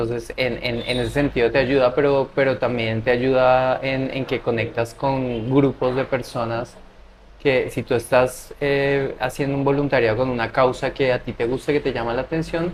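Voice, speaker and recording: The man speaks at a medium pitch with monotone, flat intonation. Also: moderate pace. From Latin America. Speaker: scholarship adviser and traveler. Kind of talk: interview.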